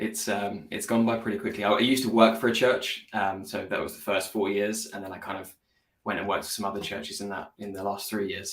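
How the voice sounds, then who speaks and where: With a British accent, a man speaks at a fairly quick pace and a fairly low pitch. His intonation is fairly even, but his loudness swings a lot. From UK. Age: 20s. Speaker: graphic designer. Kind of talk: casual chat.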